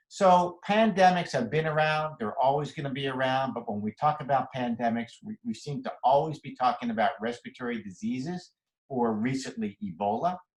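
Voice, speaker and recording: Fairly quick, somewhat breathy speech from a man with an American accent, medium pitch, lively intonation and hardly any pauses. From Philadelphia, US. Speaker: physician. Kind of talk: lecture. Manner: fast.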